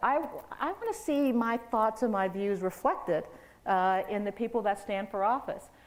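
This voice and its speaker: Fairly high in pitch, a woman with a Midwestern US accent speaks with lively intonation. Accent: US Midwest. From Missouri, St. Louis. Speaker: public administration researcher. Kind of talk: public talk Q&A.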